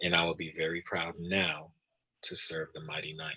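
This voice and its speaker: The voice belongs to a man. Its tone is bright and sharp. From Belize. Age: 40s. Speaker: congressional candidate, army veteran. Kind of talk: interview closing statement.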